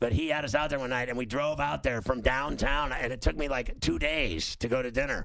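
A man talks at a fairly quick pace with hardly any pauses, at a medium pitch with ordinary pitch variation. His tone is bright and sharp, with vocal fry. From Pittsburgh. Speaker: radio host. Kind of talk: casual chat. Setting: studio.

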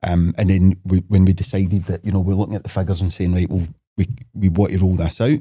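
In a Lanarkshire accent, a man with a very deep, low pitch and a dark, mellow, somewhat breathy tone keeps fairly even intonation on a very clean recording with a silent background. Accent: Scottish (Lanarkshire). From Scotland, Motherwell. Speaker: property developer. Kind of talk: casual chat. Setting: studio.

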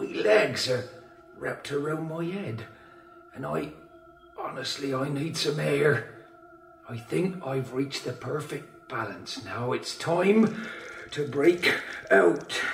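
A man uses a put-on character voice pitched fairly high, speaking at a fairly slow pace. Long, frequent pauses break up his lines, and there is a slight echo. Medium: audio drama. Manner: drowsy then delighted, wondering.

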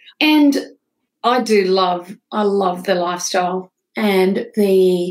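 A woman with a rural Australian accent, medium in pitch. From northwestern New South Wales, Australia. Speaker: founder of a sobriety non-profit. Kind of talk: interview.

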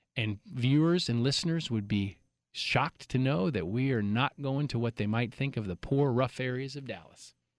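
A man's plain, everyday voice, medium in pitch with ordinary pitch variation, at a moderate pace in a dry, close sound with no echo. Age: 40s. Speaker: nonprofit advocacy coordinator, former government investigator. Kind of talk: interview. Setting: studio.

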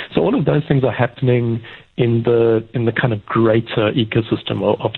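A man's medium-pitched, normal speaking voice at a moderate pace. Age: 50s. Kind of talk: radio discussion.

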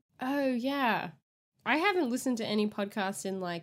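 In a very clean recording with a silent background, a woman with an American accent speaks at a fairly slow pace with lively intonation. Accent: Australian, slight, occasional American R's. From Australia. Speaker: podcast co-host. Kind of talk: casual chat.

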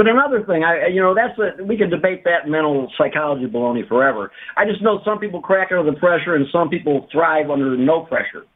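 A man with a high pitch and an American accent, fairly quick pace and lively intonation. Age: 70s. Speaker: caller. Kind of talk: call-in talk. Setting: phone call.

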